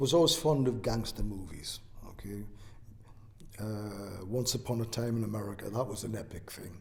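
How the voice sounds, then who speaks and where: Room echo is audible on this recording. A man speaks at a fairly low pitch with ordinary pitch variation. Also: moderate pace. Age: 60s. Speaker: oral history interviewee. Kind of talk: interview. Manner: hesitant, with fillers.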